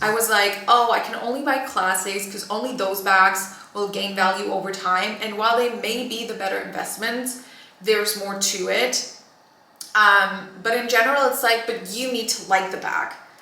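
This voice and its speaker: The delivery is animated, with audible room echo and noticeable background noise. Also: woman, fairly high pitch for a woman, moderate pace. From Germany. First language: German. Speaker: fashion vlogger. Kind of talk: try-on haul chat. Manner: casual, animated.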